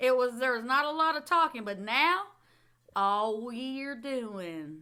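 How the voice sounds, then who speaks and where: With a Southern US accent, a woman speaks at a high pitch in a bright, sharp tone, with very wide pitch swings and big swings in loudness. Her pace is very slow, and the very clean recording has a silent background. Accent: Southern drawl. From Texas. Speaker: streamer and podcast host. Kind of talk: casual chat. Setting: live stream. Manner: animated.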